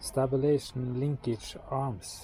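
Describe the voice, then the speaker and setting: Vocal fry runs through a man's dark, mellow tone as he speaks with a Norwegian accent. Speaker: car repair youtuber. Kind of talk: tutorial. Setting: in a car. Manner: halting.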